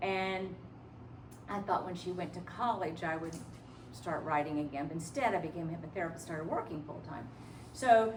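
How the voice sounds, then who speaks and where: Speaking at a fairly quick pace, a woman with a fairly low pitch shows ordinary pitch variation, and the recording has audible room echo and noticeable background noise. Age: 70s. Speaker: hypnotherapist and life coach. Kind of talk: lecture.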